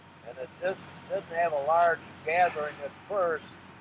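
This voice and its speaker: Against noticeable background noise, a man with a fairly high voice speaks with fairly even intonation. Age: 70s. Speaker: protest movement participant. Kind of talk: statement at public meeting.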